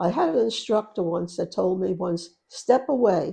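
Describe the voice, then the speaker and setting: A woman has a dark, mellow tone and an American accent. Her intonation is lively. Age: 80s+. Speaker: painter. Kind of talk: interview answer.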